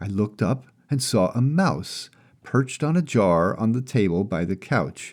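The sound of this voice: Lively intonation over an unforced reading voice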